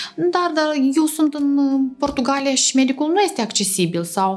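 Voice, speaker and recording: Over noticeable background noise, a woman speaks with a high voice that makes very wide pitch swings. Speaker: oral and facial aesthetic surgeon. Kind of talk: interview.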